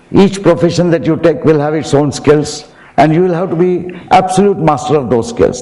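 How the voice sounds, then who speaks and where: A man talks in a room with audible echo and noticeable background noise. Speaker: professor. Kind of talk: commencement speech. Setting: auditorium with audience.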